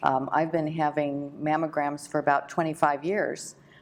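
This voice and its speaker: A woman speaks with a very deep, low pitch. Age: 60s. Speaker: breast cancer survivor and volunteer. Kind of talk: interview. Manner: halting, many fillers.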